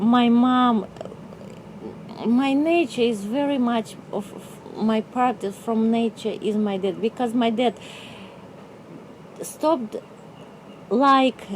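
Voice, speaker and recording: Noticeable background noise sits behind a woman with a fairly high pitch. She talks at a very slow pace with ordinary pitch variation. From Russia (Novosibirsk, Siberia). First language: Russian. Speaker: artist. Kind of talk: interview. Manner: halting.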